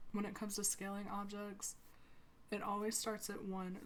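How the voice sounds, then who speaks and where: A woman's voice with audible room echo. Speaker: sims builder youtuber. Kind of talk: tutorial. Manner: monotone.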